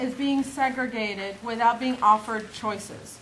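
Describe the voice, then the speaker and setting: A woman talks at a fairly slow pace, her pitch varying in an ordinary way, with audible room echo around her. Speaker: conference presenter, state mental health official. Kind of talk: conference presentation.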